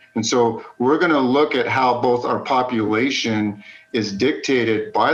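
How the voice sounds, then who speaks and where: With an American accent, a man speaks through noticeable background noise. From West Texas, El Paso. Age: 40s. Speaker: geology instructor. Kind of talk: lecture.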